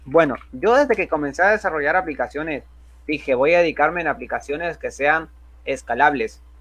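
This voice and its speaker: This speaker has a Honduran accent and a moderate pace. The background is quiet. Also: man. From Honduras. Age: 20s. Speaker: software developer and youtuber. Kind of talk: tutorial. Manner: casual, with filler words.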